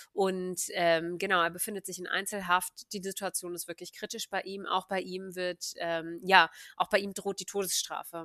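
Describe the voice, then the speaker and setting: A woman with a bright, sharp tone and medium pitch speaks at a moderate pace with hardly any pauses, her monotone, flat intonation paired with big swings in loudness in a dry, close sound with no echo. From Germany, Hannover. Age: 20s. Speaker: activist and economics doctoral student. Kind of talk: casual interview.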